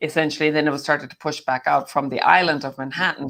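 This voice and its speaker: A woman talks at a very fast pace in a very deep, low voice. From Ireland, County Clare. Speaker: summit speaker, former bar owner. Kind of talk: casual interview.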